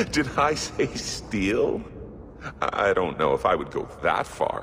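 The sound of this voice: Using a put-on character voice, a man speaks at a slow pace with big pitch swings. His pitch is low for a man, and his tone is fairly bright.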